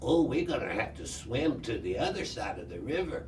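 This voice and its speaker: A man performs a put-on character voice at a moderate pace. Background noise is clearly audible. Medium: read story.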